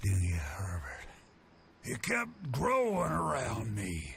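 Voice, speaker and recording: A man puts on a raspy character voice against clear background noise. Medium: video game. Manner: rambling, chuckling.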